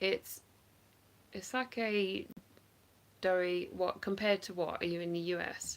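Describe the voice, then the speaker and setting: A woman with an English accent speaks at a fairly slow pace, leaving long, frequent pauses. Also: fairly even intonation. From England. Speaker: online reseller; live stream reseller. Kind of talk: casual livestream chat. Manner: casual, hesitant with fillers. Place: home room. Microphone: phone near.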